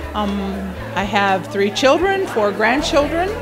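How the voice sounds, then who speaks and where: With music in the background and audible room echo, a woman with an American accent speaks at a fairly slow pace. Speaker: retiree. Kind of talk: casual chat.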